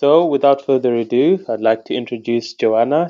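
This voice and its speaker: Medium in pitch, a man talks in a normal speaking voice with ordinary pitch variation. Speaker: podcast host. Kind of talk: interview questions.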